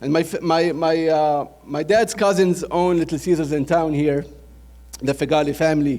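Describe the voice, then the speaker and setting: With a Lebanese accent, a man speaks at a moderate pace in a dark, mellow tone, his fairly high pitch held to fairly even intonation. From Lebanon, Beirut. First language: Arabic. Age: 30s. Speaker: restaurant franchise owner. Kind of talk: business presentation. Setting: trade show audience.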